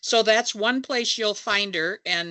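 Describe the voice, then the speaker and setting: A woman's voice at a moderate pace. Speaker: labor movement fundraiser and panelist. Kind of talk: panel discussion. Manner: halting, many fillers.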